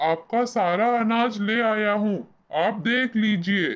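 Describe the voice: A cartoonish character voice sits at a fairly high pitch. It moves along at a fairly slow pace.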